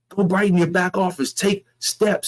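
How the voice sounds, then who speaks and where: A man's high-pitched, animated voice, dry and close with no echo. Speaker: network marketing presenter. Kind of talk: sales pitch. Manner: fast.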